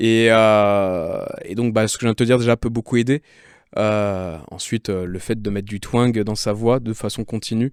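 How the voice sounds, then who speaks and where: A man speaks at a medium pitch and a moderate pace. The recording is very clean with a silent background and a dry, close sound with no echo. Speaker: singer and vocal coach. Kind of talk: casual interview with vocal exercises. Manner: animated.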